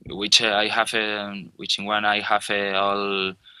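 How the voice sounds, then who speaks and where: Recorded very cleanly with a silent background, a man with a Spanish accent speaks at a fairly low pitch. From Spain, Galicia (Ourense, A Coruña). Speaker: musician and producer. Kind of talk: interview. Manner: halting.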